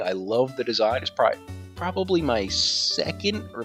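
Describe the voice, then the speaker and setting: The voice moves at a moderate pace while music plays in the background. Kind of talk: casual gaming commentary.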